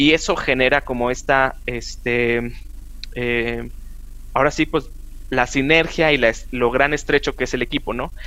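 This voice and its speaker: A man's bright, sharp voice at a fairly slow pace with fairly even intonation. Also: medium pitch for a man. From northern Mexico, Chihuahua. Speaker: chemist and road safety advocate. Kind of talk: casual interview.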